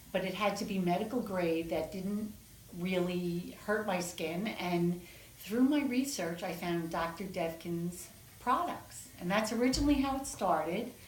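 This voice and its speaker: A woman with an American accent speaks at a fairly slow pace and medium pitch, with noticeable background noise and audible room echo. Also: ordinary pitch variation. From New York City. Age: 60s. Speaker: patient giving testimonial. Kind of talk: interview testimonial.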